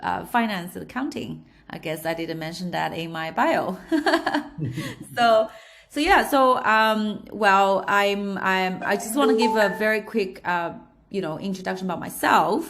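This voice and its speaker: A woman at a medium pitch speaks fairly slowly, with ordinary pitch variation. Room echo is audible and background noise is noticeable. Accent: slight Australian. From China, Shanghai. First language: Chinese. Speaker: entrepreneur. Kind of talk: interview. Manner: halting, many fillers.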